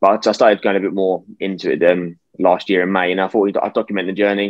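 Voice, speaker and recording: This man talks very fast in a flat monotone. His pitch sits fairly low. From UK. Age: 20s. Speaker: investor and youtuber. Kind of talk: interview.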